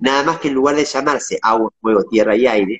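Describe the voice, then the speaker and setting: With a Rioplatense accent, a man talks at a fairly quick pace with ordinary pitch variation over a quiet background. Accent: Argentine Spanish (rioplatense). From Argentina, Patagonia (Viedma); Patagonia, Argentina. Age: 40s. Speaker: interviewee. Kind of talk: interview. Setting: video call. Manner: halting.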